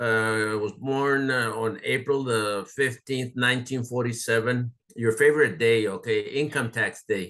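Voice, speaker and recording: Speaking at a fairly slow pace with hardly any pauses, a man of medium pitch uses fairly even intonation and a bright, sharp tone. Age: 70s. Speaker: oral history interviewee. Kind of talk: oral history interview. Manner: halting, many fillers.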